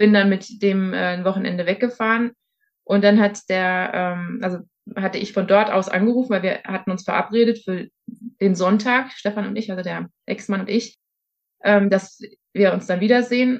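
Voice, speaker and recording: Her pitch is medium for a woman, and her intonation stays fairly even. She speaks at a moderate pace. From Germany, Hesse. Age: 40s. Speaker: interviewee sharing personal experience. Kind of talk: testimony in interview. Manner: hesitant, many fillers.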